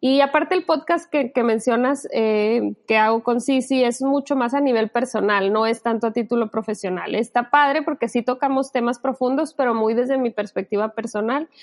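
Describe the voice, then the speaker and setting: A woman with a high pitch speaks at a moderate pace with ordinary pitch variation, very even loudness and hardly any pauses. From Sinaloa, Mexico. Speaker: psychologist. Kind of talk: casual interview.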